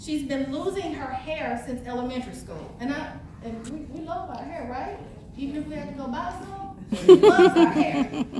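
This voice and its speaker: A woman with an American accent speaks at a moderate pace in a high voice with ordinary pitch variation and big swings in loudness, with audible room echo and noticeable background noise. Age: 40s. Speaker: motivational speaker. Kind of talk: motivational speech. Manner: animated.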